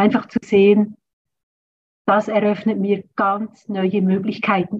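The woman's voice sits at a medium pitch and sounds somewhat breathy. She talks very slowly. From rural German-speaking area, grew up on a farm. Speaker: trauma therapist. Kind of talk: interview.

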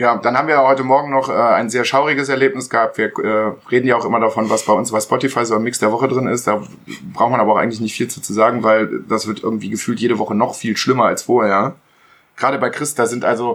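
A man races along at a very fast pace, his medium-pitched voice holding a fairly even intonation. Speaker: podcast co-host. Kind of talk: casual chat. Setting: sharing one mic with others at home.

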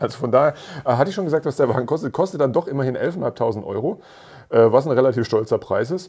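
The delivery is very fast, with a dark, mellow tone and lively intonation. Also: man, fairly high pitch for a man. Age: 40s. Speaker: motoring journalist and podcast co-host. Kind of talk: casual chat.

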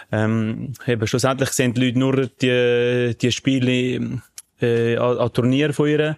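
At a fairly slow pace, a man with a medium pitch speaks in a monotone, flat way with very even loudness, in a dry, close sound with no echo. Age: 20s. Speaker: podcast co-host, professional athlete. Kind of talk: casual chat.

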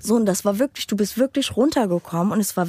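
A woman talks at a very fast pace with lively intonation and a fairly high pitch. The sound is dry and close, with no echo. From Romania, raised in Germany. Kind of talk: testimony.

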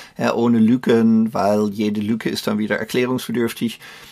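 With a slight Dutch accent, a man speaks at medium pitch and a moderate pace. His intonation is monotone and flat. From Netherlands. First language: Dutch (speaking German). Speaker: career coach and author. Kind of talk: interview. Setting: remote call.

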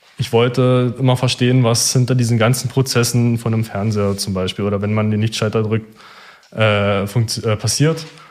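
A plain, everyday voice speaks at a moderate pace. The intonation is fairly even. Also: man, medium pitch for a man. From eastern Germany, near Cottbus. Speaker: engineering student. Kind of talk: interview.

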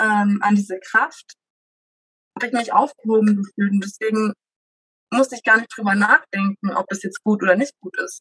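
The sound is dry and close, with no echo. The pace stays moderate. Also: woman. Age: 20s. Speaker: mother sharing home birth story. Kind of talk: interview testimony. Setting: child present during recording.

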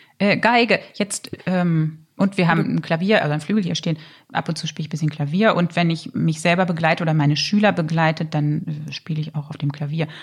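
This woman has a fairly low, somewhat breathy voice. She talks at a fairly quick pace with fairly even intonation. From Germany, Lower Saxony (Harz). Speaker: opera singer. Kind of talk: casual chat.

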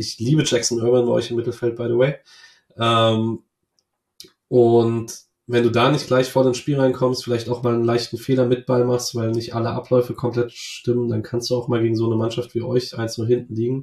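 Talking at a fairly quick pace, the man has a medium pitch, a somewhat breathy voice and monotone, flat intonation. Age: 20s. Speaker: football fan podcaster. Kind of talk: casual interview chat.

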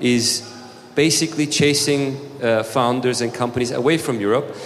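Man at a moderate pace with fairly even intonation, audible room echo and noticeable background noise. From Turkey. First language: Turkish. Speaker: startup founder. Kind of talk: panel discussion. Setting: stage with audience.

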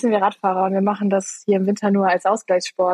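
Somewhat breathy, a woman talks at a very fast pace in a dry, close sound with no echo. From Eifel, western Germany. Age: 20s. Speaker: amateur racing cyclist. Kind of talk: casual interview.

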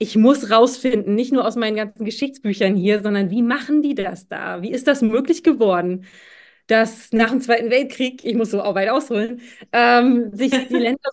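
Over a quiet background, a woman with an ordinary speaking voice talks at a moderate pace, her pitch fairly high and its variation ordinary. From Mecklenburg-Western Pomerania, Schwerin. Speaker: keynote speaker and leadership mentor. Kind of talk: interview.

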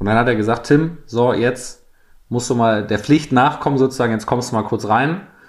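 A man's unremarkable speaking voice, pitched in the middle, fairly quick in pace, its pitch varying in an ordinary way. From East Frisia, northern Germany. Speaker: football club PR officer. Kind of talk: casual chat.

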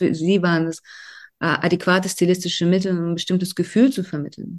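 A woman at a medium pitch, talking very fast with a Russian accent. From Russia (Volgograd, Soviet Union). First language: Russian (speaking German). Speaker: novelist and dramaturge. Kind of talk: interview.

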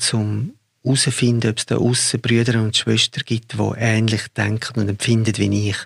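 The voice is somewhat breathy and moves at a moderate pace with monotone, flat intonation. The sound is dry and close, with no echo. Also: man. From Zurich, Switzerland. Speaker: film director. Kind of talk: interview conversation.

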